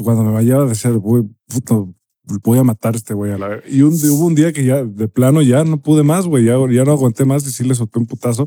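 A man in a Mexican accent speaks at a medium pitch and moderate pace, his dark, mellow tone showing ordinary pitch variation in a dry, close sound with no echo. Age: 30s. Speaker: podcast co-host. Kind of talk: casual chat.

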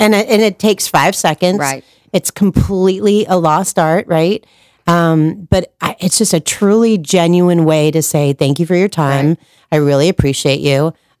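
A woman with a normal speaking voice and fairly low pitch talks at a moderate pace, showing ordinary pitch variation and very even loudness in a dry, close sound with no echo. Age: 40s. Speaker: marketing consultant. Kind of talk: casual chat.

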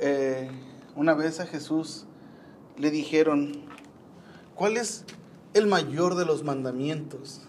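There is audible room echo and noticeable background noise. A man with a fairly high pitch speaks very slowly, with long, frequent pauses. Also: ordinary pitch variation. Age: 30s. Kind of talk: casual devotional talk. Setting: rooftop. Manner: halting.

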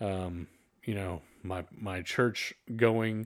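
A man with a Texan accent in a monotone, flat delivery, on a very clean recording with a silent background. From North Texas (Fort Worth area). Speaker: podcast host. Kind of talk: casual chat.

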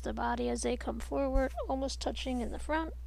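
A woman talks at a moderate pace. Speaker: meditation and movement instructor. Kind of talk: guided movement and breathing instruction. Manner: soothing and even.

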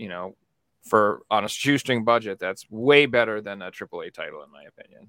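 In a very clean recording with a silent background, a man speaks at a moderate pace with a fairly low pitch and ordinary pitch variation. His tone is bright and sharp, and the sound is dry and close with no echo. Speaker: podcast co-host. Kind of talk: casual chat.

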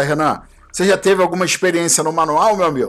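A man speaks very fast. The variation in his pitch is ordinary. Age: 40s. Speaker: podcast host. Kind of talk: casual chat.

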